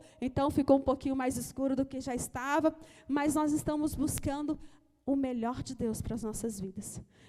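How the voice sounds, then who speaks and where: Speaking at a moderate pace, a woman with a high pitch and dark, mellow tone keeps her intonation fairly even. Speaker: church leader. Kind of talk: offering appeal in live-streamed service. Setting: church, live-streamed service.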